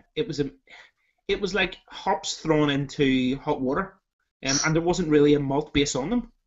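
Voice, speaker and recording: Against a quiet background, a man speaks at a moderate pace in a fairly high pitch with ordinary pitch variation. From Ireland. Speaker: beer reviewer. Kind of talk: casual chat. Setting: video call. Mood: relaxed, jokey. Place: home room. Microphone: webcam.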